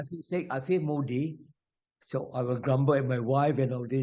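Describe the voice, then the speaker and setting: A man with a medium-pitched, somewhat breathy voice and a dark, mellow tone speaks at a moderate pace with fairly even intonation. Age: 80s+. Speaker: elderly triathlete. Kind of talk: interview.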